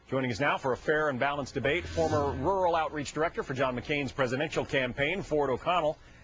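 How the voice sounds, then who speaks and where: A man rattles along at a very fast pace with hardly any pauses. His voice is fairly high, with ordinary pitch variation. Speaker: TV news anchor. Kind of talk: TV news anchoring. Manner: halting.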